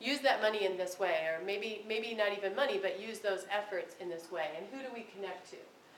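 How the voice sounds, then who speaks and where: Noticeable noise runs in the background as a woman talks in a mid-range pitch, her melody shifting by a normal amount. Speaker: special education professor. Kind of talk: lecture. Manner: fast; halting, many ums and restarts.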